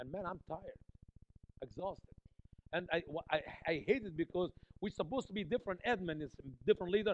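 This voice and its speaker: Talking at a very fast pace with an Egyptian accent, a man with a high pitch sounds animated, his loudness swinging widely between long, frequent pauses. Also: ordinary pitch variation. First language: Arabic. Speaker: visiting preacher and missionary to Muslims. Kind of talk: sermon. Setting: church.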